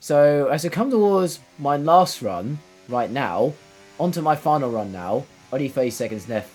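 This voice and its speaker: With music in the background, a man's voice makes very wide pitch swings. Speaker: gaming commentator. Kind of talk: live gameplay commentary. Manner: repetitive filler-heavy, casual.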